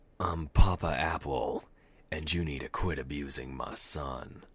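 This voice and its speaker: A man speaks at a moderate pace in a raspy, put-on character voice with a very deep, low pitch and fairly even intonation. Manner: stern, warning.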